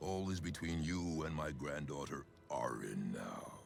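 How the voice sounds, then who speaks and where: A man's growling, put-on character voice at a very deep, low pitch and a moderate pace, with clear background noise. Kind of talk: dark ritual incantation. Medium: video game. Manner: solemn, measured, menacing.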